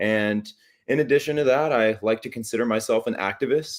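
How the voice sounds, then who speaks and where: This man has a plain, everyday voice, medium in pitch, talking at a fairly quick pace with fairly even intonation. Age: 20s. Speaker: teacher and activist. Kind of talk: interview. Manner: articulate.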